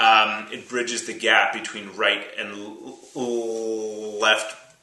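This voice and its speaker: A man with a Canadian accent speaks at a fairly low pitch in a monotone, flat intonation. Audible room echo and noticeable background noise accompany him. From Canada, Ottawa, Ontario. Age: 30s. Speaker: musician and rapper talking about stuttering. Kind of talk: personal testimony interview. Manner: halting with repeated sounds.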